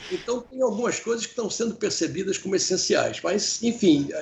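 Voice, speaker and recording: This man speaks. He has a Rio de Janeiro accent. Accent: Carioca. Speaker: professor and business consultant. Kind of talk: interview. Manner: halting, many repetitions.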